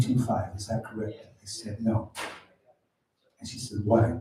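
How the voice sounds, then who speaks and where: A man speaks in a dark, mellow tone, somewhat breathy. His pitch is medium and his pace moderate. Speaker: stand-up comedian. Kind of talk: stand-up. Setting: stage with audience at open mic. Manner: halting, many fillers.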